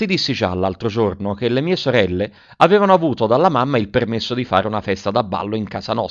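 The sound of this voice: What you hear is an unforced reading voice.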